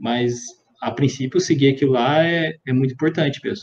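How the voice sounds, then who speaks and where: A man's fairly high voice has a dark, mellow tone and ordinary pitch variation. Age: 30s. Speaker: civil engineer, exam candidate. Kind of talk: interview. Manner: hesitant, many fillers.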